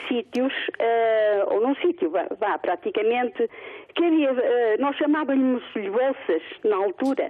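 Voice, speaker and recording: At a very slow pace, a woman speaks in a high voice with very wide pitch swings and very even loudness. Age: 60s. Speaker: retired caller. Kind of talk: phone-in opinion. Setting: phone call.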